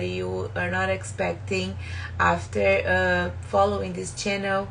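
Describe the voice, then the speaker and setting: Speaking fairly slowly with a strong Brazilian accent, a woman is heard with audible room echo. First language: Portuguese. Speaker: spiritual self-help YouTuber. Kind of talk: live stream book talk. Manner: halting, many fillers.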